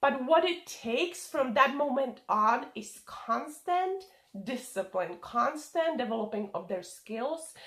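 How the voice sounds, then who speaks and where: A woman with a non-native accent speaks very slowly in a high voice. Her pitch swings very widely, and there is noticeable background noise. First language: not English. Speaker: online business coach. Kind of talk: vlog. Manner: careful pronunciation.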